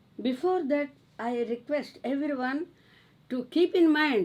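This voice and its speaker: A woman speaks with a Telugu accent. Her pitch is high. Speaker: spiritual teacher. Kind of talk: religious discourse.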